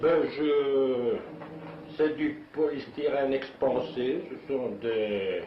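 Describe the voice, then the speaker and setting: Amid noticeable background noise and audible room echo, a man with a medium pitch speaks with ordinary pitch variation. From Flanders, Belgium. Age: 70s. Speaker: kite maker and painter. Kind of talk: interview. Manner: halting.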